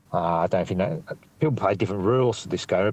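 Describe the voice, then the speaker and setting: A man is speaking. He has an Australian accent. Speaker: stand-up comedian. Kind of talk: interview chat. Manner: halting, rambling, self-interrupting.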